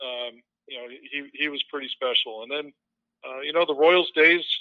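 A man's fairly high voice with an American accent, a normal speaking voice, at a fairly quick pace. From suburban Chicago. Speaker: baseball radio play-by-play broadcaster. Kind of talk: interview.

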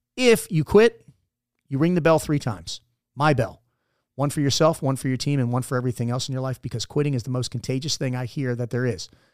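A man with an American accent talks at a very fast pace. The sound is dry and close with no echo, on a very clean recording with a silent background. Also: medium pitch for a man, ordinary pitch variation. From Maryland (Dundalk, Baltimore area). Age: 40s. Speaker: Navy SEAL veteran. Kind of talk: casual interview. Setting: studio.

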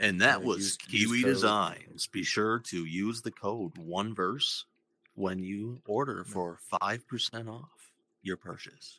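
A man with a fairly low pitch and a bright, sharp tone speaks at a very slow pace, the sound dry and close with no echo against a quiet background. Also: ordinary pitch variation. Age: 20s. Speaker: podcast host.

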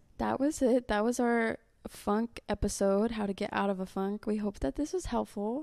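Heard in a dry, close sound with no echo, a woman speaks at a fairly high pitch with a dark, mellow tone, ordinary pitch variation, a moderate pace, and very even loudness. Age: young. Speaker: podcast co-host, college student. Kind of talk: casual chat.

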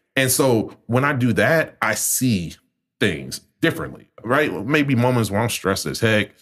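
A man with an American accent speaks at a moderate pace in a medium pitch, his intonation lively and his voice touched with vocal fry. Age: 30s. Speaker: community organizer. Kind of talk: casual chat.

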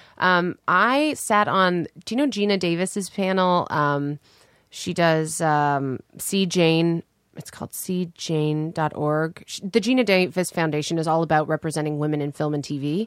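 In a Canadian accent, a woman uses a normal speaking voice at a fairly low pitch with ordinary pitch variation, on a very clean recording with a silent background. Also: fairly slow pace, dry, close sound with no echo. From Canada. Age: 30s. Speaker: actor and writer. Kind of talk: casual chat.

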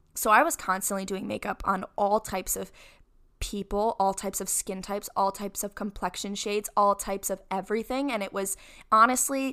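A woman with an American accent talks at a fairly quick pace and a medium pitch. Her tone is animated as well as bright and sharp. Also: very clean recording, silent background. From upstate New York. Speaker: podcast host and social media creator. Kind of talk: casual solo monologue.

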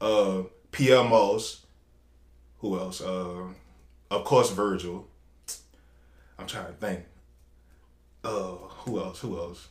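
Speaking in a New Orleans accent at a very slow pace, a man with a fairly low pitch keeps his intonation fairly even while his loudness swings widely and long, frequent pauses break up his speech. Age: 30s. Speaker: fashion designer. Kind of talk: casual chat.

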